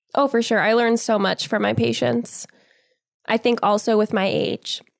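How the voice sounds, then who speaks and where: A woman speaks at a moderate pace in an American accent, her loudness very even. The sound is dry and close, with no echo. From US Northeast. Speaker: psychology graduate student. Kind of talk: casual interview.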